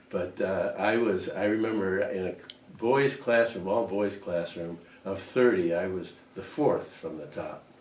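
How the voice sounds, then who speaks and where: Amid noticeable background noise and audible room echo, a man with an American accent speaks at a fairly slow pace in a fairly low pitch with ordinary pitch variation. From US Midwest, Lakewood, Ohio. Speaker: retiree reminiscing. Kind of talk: oral history interview. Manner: halting, with frequent fillers.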